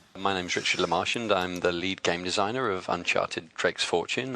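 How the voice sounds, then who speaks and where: A man with a British accent talks at a fairly quick pace in a bright, sharp tone with ordinary pitch variation. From Britain. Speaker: video game designer. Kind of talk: interview. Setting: pre-recorded studio interview.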